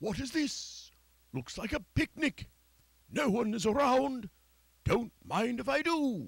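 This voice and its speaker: In a cartoonish character voice, a man speaks at an extremely high pitch and a fairly slow pace, with long, frequent pauses. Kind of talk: puppet theatre performance. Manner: polite, cheerful.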